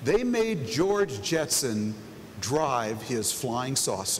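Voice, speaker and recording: Speaking at a very slow pace, a man swings his pitch very widely. Room echo is audible, along with noticeable background noise. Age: 60s. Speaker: keynote moderator. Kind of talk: on-stage panel moderation. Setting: stage with audience.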